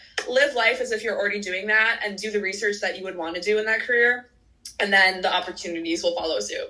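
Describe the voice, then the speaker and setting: A woman talks in an animated tone at a very fast pace. Noticeable background noise can be heard. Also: medium pitch for a woman, ordinary pitch variation. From US Midwest, Chicago suburbs. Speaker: medical student. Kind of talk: interview.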